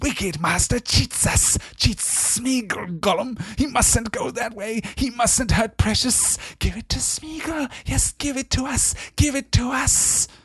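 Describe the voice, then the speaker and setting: A put-on character voice with a fairly high pitch and a hissing quality moves at a fairly slow pace. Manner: accusing, wheedling.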